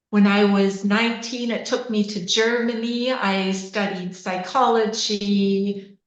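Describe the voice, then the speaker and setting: A woman's fairly high, monotone, flat voice with a Canadian accent and audible room echo. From Canada, Waterloo Ontario. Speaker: osteopath and coach. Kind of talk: podcast interview. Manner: hesitant with many fillers.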